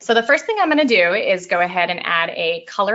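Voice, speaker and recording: Talking at a very fast pace, a woman moves through very wide pitch swings. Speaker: portrait photographer. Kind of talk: webinar tutorial. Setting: online webinar.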